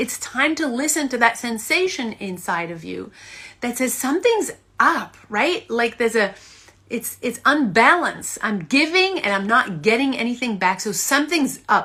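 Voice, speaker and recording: Woman with a high pitch, very wide pitch swings and an animated tone. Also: moderate pace. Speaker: acting coach. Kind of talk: motivational talk to camera; guided meditation.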